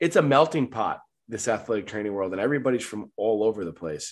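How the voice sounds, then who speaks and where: A man with a New York accent at a fairly quick pace, over a quiet background. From Long Island, New York. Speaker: medical supply sales director. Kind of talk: casual interview.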